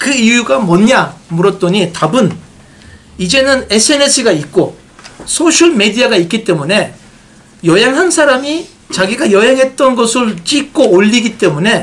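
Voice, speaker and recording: Noticeable background noise behind a moderately paced voice. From Turkey. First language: Turkish (speaking Korean). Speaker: tourism marketing expert, honorary official. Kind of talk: press briefing talk. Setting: meeting with reporters. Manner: hesitant, many fillers.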